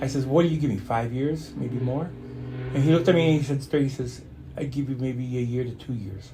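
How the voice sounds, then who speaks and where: Audible room echo surrounds a man talking at a fairly quick pace and medium pitch with ordinary pitch variation. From born in Stuttgart, Germany, raised in a US Army family. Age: 60s. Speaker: interview guest, client and friend of host. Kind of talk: casual interview conversation. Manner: halting, with repetitions and fillers.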